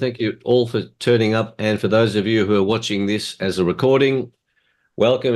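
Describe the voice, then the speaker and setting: Someone with an Australian accent talks at a fairly quick pace. Pitch varies in an ordinary way, and the background is quiet. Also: man. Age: 70s. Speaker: motivational speaker. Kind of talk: presentation.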